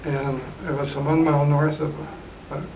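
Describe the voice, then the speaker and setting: With an Upper Midwest accent, a man talks in a fairly high, monotone, flat voice amid audible room echo and noticeable background noise. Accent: Upper Midwest American. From southern Minnesota. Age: 80s+. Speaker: retired geophysicist. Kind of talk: oral history interview.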